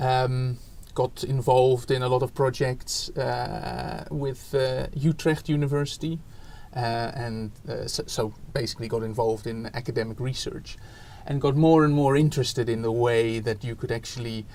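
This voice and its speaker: Fairly even intonation marks this man's speech at medium pitch and a moderate pace. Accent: Dutch. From Netherlands. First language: Dutch. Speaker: education researcher, academic. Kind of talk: interview. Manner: hesitant, many fillers.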